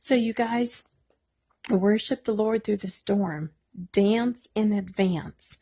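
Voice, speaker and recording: Speaking at a very slow pace with long, frequent pauses, a woman uses a fairly high, somewhat breathy voice with a dark, mellow tone and ordinary pitch variation against a quiet background. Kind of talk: devotional encouragement talk. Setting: at home at night. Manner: speaking quietly.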